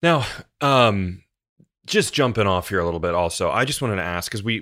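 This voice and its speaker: This man has a fairly low pitch and an ordinary speaking voice, with ordinary pitch variation and a General American accent. The recording is very clean, with a silent background. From United States. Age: 30s. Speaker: podcast host. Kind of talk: interview.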